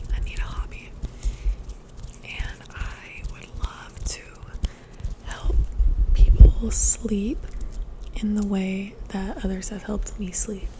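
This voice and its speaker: A very slow whisper is heard with noticeable background noise behind it. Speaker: former teacher; ASMR creator. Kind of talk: ASMR whisper and soft-spoken ramble; casual talk to camera. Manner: whispered, soft-spoken.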